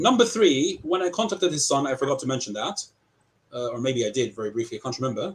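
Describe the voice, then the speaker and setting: Speaking with a British accent, a man races along at a very fast pace with very wide pitch swings. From England, Southampton. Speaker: accused party in an arbitration. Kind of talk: heated debate. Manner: animated.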